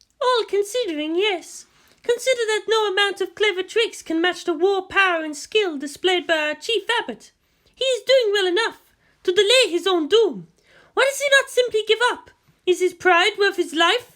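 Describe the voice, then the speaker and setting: A female-sounding voice puts on a squeaky character voice at an extremely high pitch and a moderate pace. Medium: read story. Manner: calm, measured, knowing.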